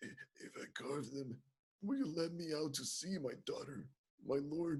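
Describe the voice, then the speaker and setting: A man speaks in a put-on character voice, pitched fairly high. His pace is fairly slow. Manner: pleading.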